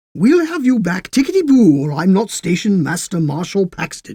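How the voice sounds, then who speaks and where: Middle pitch and a moderate pace in a put-on character voice. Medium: read story. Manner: dry, unflappable, cryptic.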